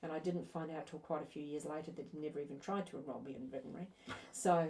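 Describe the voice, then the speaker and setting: Very fast speech from a woman amid noticeable background noise. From New Zealand, raised from late teens in Australia (Melbourne). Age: 60s. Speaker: business consultant. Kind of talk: podcast interview.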